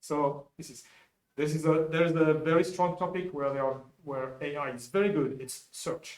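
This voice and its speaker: A man with a French accent speaks at a fairly high pitch, his loudness swinging widely. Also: fairly even intonation, moderate pace. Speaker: software developer presenting at a conference. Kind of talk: conference talk. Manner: halting, with frequent repetitions.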